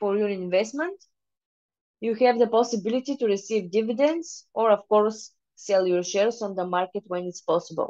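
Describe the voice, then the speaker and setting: With a Bulgarian accent and a dark, mellow tone, a woman with a fairly high pitch speaks at a moderate pace and ordinary pitch variation. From Bulgaria, Varna. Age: 20s. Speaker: private investor. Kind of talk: presentation. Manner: halting.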